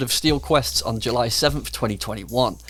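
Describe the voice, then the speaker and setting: A man with an English accent at a fairly quick pace. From England. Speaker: gaming YouTuber. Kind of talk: video commentary.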